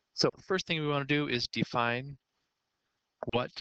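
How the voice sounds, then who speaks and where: A man talks with ordinary pitch variation. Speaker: math teacher. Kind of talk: lecture.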